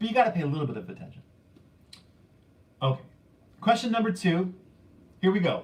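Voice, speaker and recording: A man with a high voice and lively intonation. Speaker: YouTube vinyl collector channel host running trivia contest. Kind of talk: livestream trivia quiz chat. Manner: loud, slightly yelling.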